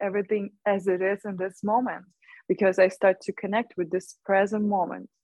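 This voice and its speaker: A woman talks at a moderate pace with a medium pitch. Her intonation stays monotone and flat. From Ukraine. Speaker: shaman and energy worker. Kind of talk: interview. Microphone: connection lags briefly near the end.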